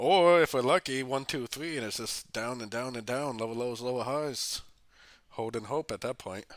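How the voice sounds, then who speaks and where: Recorded very cleanly against a silent background, a man of medium pitch talks at a moderate pace with ordinary pitch variation. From America. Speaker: forex trading educator. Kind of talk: live stream chart analysis. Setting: live stream. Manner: casual, conversational.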